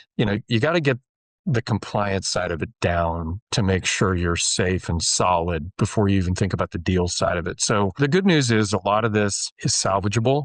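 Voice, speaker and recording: In an ordinary speaking voice with an American accent, the speaker talks at a moderate pace with ordinary pitch variation, and the sound is dry and close with no echo. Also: man, fairly low pitch for a man. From US Midwest, rural Iowa. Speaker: real estate investment manager. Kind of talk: interview in a webinar.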